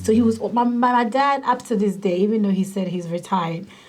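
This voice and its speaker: A woman's voice, somewhat breathy, has a dark, mellow tone and fairly even intonation. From Ghana. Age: 30s. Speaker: social work director. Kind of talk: interview testimony.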